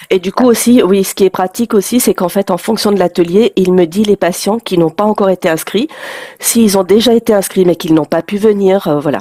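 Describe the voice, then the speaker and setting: Noticeable background noise sits behind a woman talking at a fairly quick pace. Her pitch is medium, with ordinary variation. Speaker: health education program coordinator. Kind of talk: webinar presentation. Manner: hesitant, many fillers.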